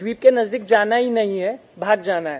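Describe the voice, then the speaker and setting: This man speaks with a high pitch. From Maharashtra, India. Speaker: chartered accountant speaker. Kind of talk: seminar lecture.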